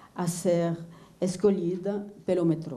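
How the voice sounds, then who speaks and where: A woman with a non-native accent, medium pitch and a dark, mellow tone, fairly even intonation, in audible room echo. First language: not Portuguese (speaking Portuguese). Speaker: visual artist. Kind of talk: lecture. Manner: halting.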